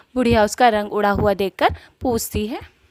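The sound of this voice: Heard in a dry, close sound with no echo, a woman speaks at a fairly quick pace with a medium pitch, a slightly mellow tone and ordinary pitch variation.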